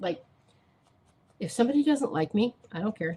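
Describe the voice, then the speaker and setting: A woman talks at a fairly quick pace in a somewhat breathy voice with very wide pitch swings. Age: 60s. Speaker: crafting YouTuber. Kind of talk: live stream craft demonstration. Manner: casual and chatty.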